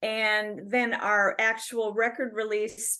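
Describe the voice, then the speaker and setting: Speaking very slowly in an Upper Midwest accent, a woman has a bright, sharp tone against a quiet background. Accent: Upper Midwest (Minnesota). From Minnesota, Bayport near Stillwater. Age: 60s. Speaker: rock singer. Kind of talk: interview. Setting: video call.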